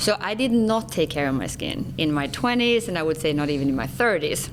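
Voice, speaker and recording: A woman speaks at a fairly quick pace in a very deep, low pitch, with very wide pitch swings. Noticeable background noise runs underneath. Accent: Swedish. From Sweden. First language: Swedish. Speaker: skincare company executive. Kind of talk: interview.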